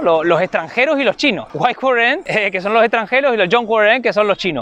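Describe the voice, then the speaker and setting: A man's high-pitched, very fast speech with ordinary pitch variation, set against noticeable background noise. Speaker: YouTuber living abroad. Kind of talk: casual chat.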